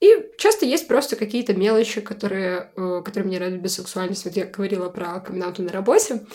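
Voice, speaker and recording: At a fairly quick pace with hardly any pauses, a woman speaks in a medium pitch with a dark, mellow tone, ordinary pitch variation and big swings in loudness. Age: 20s. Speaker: podcast guest, former event organizer. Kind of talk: casual chat.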